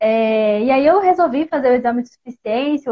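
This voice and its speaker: A woman's fairly high-pitched voice with a Minas Gerais accent. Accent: Brazilian Portuguese, mineiro. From Minas Gerais, Brazil. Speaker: accountant. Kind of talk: live-stream tutorial. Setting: social media live stream. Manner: casual, chatty.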